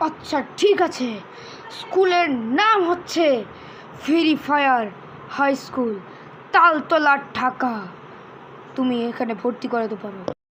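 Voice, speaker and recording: A cartoonish, female-sounding character voice, high-pitched and at a very slow pace, over clear background noise. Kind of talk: comic cartoon acting. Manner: cheerful, confident.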